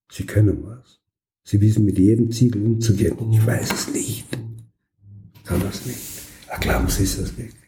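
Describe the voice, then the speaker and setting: Amid audible room echo, a man with fairly low pitch talks at a moderate pace in a flat monotone, with long, frequent pauses and big swings in loudness. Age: 70s. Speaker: occupational therapist. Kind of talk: interview.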